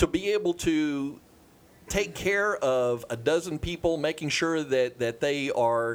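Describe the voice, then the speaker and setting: An ordinary speaking voice from a man, fairly high-pitched and fairly slow, with ordinary pitch variation and very even loudness. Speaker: real estate agent. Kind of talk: casual chat.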